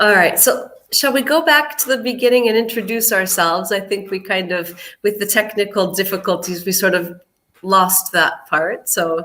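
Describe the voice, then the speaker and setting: Speaking in a plain, everyday voice, a woman has an American accent. Her medium pitch shows ordinary variation at a moderate pace. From United States. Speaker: English teacher. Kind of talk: online English lesson livestream.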